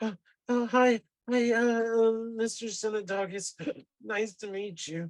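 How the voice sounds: Putting on a whiny character voice, a man speaks at a high pitch and a fairly slow pace.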